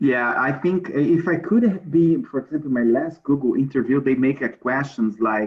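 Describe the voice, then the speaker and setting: Here a man speaks with a Brazilian Portuguese accent. His pace is moderate. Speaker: alumnus and former transport executive. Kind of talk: career advice talk.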